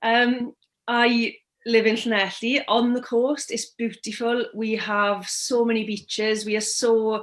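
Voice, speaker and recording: A woman with a Welsh accent against a quiet background. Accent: Welsh, lilting. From Wales. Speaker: therapist. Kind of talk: interview.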